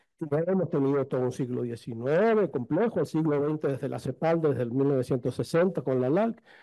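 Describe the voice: The voice has a dark, mellow tone and moves at a fairly quick pace. Its intonation is lively. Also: man, medium pitch for a man.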